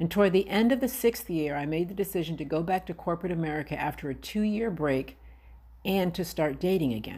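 A woman talks at a very fast pace with a dark, mellow tone and a fairly low pitch. Her intonation is lively, with vocal fry. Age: 50s. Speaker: podcast host. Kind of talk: personal monologue.

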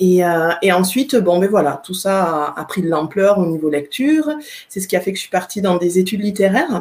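At a medium pitch, a woman talks at a fairly quick pace with lively intonation and big swings in loudness. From France, Aveyron. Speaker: writer, poet and trainer. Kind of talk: interview in a live video stream.

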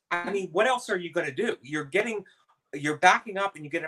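Over music in the background, a man with an American accent speaks in a raised, projected voice with lively intonation. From US Midwest (Youngstown, Ohio). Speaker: comedian. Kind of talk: casual chat.

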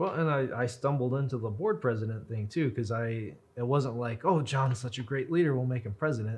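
A man with an American accent, medium in pitch and somewhat breathy, at a fairly quick pace with hardly any pauses. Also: ordinary pitch variation. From US Southwest, Roswell, New Mexico. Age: 30s. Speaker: author and historian. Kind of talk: casual interview. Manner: even-keeled.

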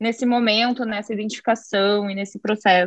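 Moderately paced speech from a woman with fairly high pitch, a bright, sharp tone and ordinary pitch variation. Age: young. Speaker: tax lawyer. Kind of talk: casual interview. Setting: video call.

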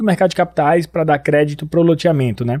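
On a very clean recording with a silent background, a man with a northeastern Brazilian accent speaks in a dark, mellow tone with fairly even intonation. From Brazil, Northeast. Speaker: company CEO and podcast host. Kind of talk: business interview.

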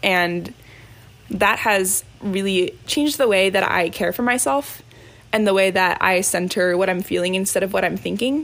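A plain, everyday voice moves at a moderate pace with ordinary pitch variation. Loudness stays very even. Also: woman, medium pitch for a woman. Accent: American. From US, northern Virginia. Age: 20s. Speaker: college student and dancer. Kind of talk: personal testimony. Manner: casual with frequent fillers.

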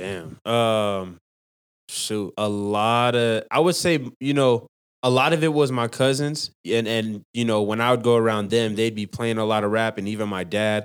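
A man with an American accent talks at a moderate pace in an unremarkable speaking voice, medium in pitch with ordinary pitch variation, on a very clean recording with a silent background. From Utah, Salt Lake City (Rose Park). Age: 20s. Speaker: rapper. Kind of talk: interview.

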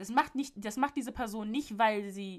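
Her tone animated, a woman speaks with lively intonation. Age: 20s. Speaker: podcast host. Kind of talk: casual solo monologue.

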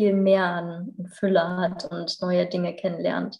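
Monotone, flat delivery from a woman at a medium pitch. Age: 30s. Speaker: yoga teacher and natural cosmetics sales partner. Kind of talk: casual interview.

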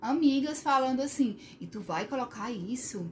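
A woman with a high pitch talks at a moderate pace, using ordinary pitch variation. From Sobral, Ceará, Brazil. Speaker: occupational therapist. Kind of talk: casual chat.

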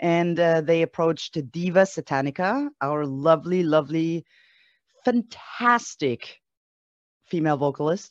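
A woman with an ordinary speaking voice talks at a fairly slow pace, with a fairly low pitch and ordinary pitch variation. The sound is dry and close with no echo against a quiet background. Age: 40s. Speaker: musician. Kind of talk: casual interview.

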